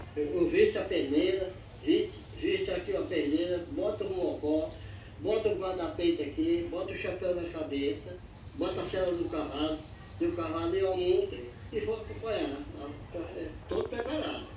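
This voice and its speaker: A man talks at a moderate pace with long, frequent pauses, audible room echo and noticeable background noise. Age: 80s+. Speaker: old cowboy. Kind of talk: interview.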